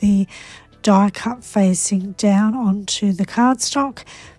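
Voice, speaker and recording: A woman's fairly high, somewhat breathy voice with a dark, mellow tone and fairly even intonation, dry and close with no echo. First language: Croatian. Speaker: papercraft demonstrator. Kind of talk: tutorial.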